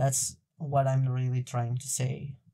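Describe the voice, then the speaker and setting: Very slow speech in a non-native accent. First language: not English. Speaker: video podcast host. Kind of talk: casual discussion. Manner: halting.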